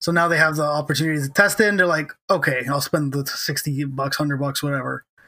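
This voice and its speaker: A man speaks at a fairly quick pace with hardly any pauses, his fairly high voice bright and sharp in tone and his intonation fairly even. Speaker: podcast host. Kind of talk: casual banter, comedy podcast.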